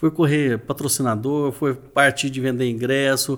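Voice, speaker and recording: A man's medium-pitched voice comes through in a very clean recording with a silent background. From Minas Gerais, Brazil (Uberlândia, Triângulo Mineiro). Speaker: real estate trainer and event organizer. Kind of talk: casual interview.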